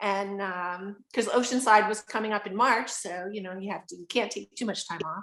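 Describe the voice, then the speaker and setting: Here a woman uses a normal speaking voice at a medium pitch. Her intonation is fairly even and her pace moderate. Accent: American. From upstate New York. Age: 60s. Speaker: adaptive athlete. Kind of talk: interview. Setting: video call.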